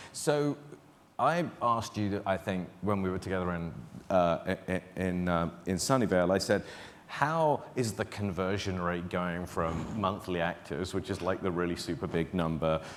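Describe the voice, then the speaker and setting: A man with a British accent speaks at a very deep, low pitch. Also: ordinary pitch variation, moderate pace. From Britain. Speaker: interviewer, advertising executive. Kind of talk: onstage interview. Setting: stage with audience.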